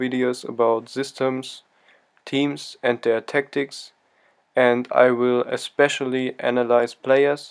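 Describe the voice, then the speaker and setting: On a very clean recording with a silent background, a man with a non-native accent speaks very slowly at a medium pitch, his intonation monotone and flat. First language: not English. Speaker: football tactics youtuber. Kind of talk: tactical analysis commentary.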